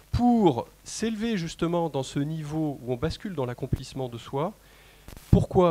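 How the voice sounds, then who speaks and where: A man with a dark, mellow tone and a fairly high pitch speaks at a moderate pace with lively intonation. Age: 40s. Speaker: personal development consultant and trainer. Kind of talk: conference talk. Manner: hesitant, many fillers.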